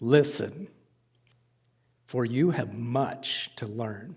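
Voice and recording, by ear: A man puts on a booming character voice at a medium pitch. He goes very slowly, with ordinary pitch variation.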